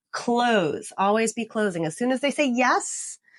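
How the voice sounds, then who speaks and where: In a plain, everyday voice, a woman with fairly high pitch speaks at a fairly slow pace over a quiet background. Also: dry, close sound with no echo. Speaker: realtor and sales trainer. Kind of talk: tutorial. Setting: office.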